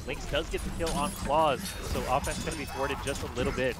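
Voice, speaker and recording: A man speaks at a very fast pace. Noticeable background noise sits behind him. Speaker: esports caster. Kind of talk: esports match commentary. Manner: measured analyst tone, explaining team strategy.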